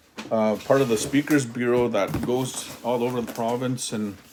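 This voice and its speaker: Noticeable background noise accompanies a man who talks fairly slowly. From northern Saskatchewan, Canada (Loon Lake); Saskatchewan, Canada. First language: Cree. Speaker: Cree language teacher and educator; Cree language teacher, educator. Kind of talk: informational talk about education. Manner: halting, many repeats and restarts. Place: home room. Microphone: phone near.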